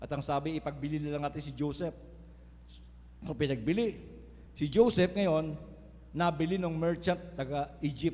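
In a dark, mellow tone that is somewhat breathy, a man speaks at a moderate pace and a fairly high pitch with ordinary variation, pausing long and often. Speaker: preacher. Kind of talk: sermon. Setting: church. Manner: earnest, preaching cadence with rhetorical 'Amen?' calls to the congregation.

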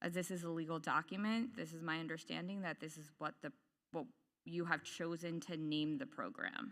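A woman speaks loudly at a fairly quick pace, her pitch fairly low and her tone bright and sharp. The recording is very clean, with a silent background. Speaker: parent and occupational therapist, public commenter. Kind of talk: public comment at board meeting. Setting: public meeting, microphone.

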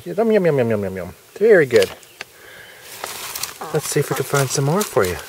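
Noticeable background noise sits under a dry sound with no echo. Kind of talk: casual demonstration chat. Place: garden. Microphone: phone near.

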